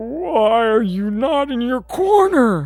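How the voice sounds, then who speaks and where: A put-on character voice, pitched fairly high and delivered at a very slow pace. Faint music plays in the background. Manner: menacing.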